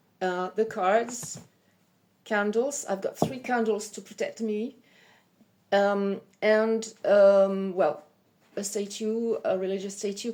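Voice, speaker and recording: A woman with a French accent speaks at a medium pitch in a dark, mellow tone. Her delivery is very slow, with fairly even intonation and long, frequent pauses. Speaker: psychic medium. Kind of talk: self-introduction video. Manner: halting; hesitant, many fillers.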